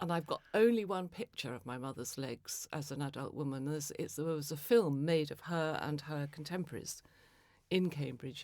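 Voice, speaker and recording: A woman's very deep, low voice with lively intonation at a moderate pace, in a very clean recording with a silent background. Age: 70s. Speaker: novelist and poet. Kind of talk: interview. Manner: halting.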